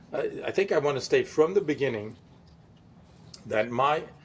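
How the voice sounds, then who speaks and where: A man's fairly high pitch, a fairly quick pace and lively intonation. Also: long, frequent pauses. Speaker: podcast co-host. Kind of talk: casual chat. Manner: loud.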